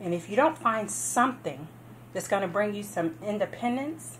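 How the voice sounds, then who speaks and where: A woman with vocal fry talks at a moderate pace with very wide pitch swings over light background noise. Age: 40s. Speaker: home business promoter. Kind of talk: sales pitch. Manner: casual, conversational with fillers. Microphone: phone near.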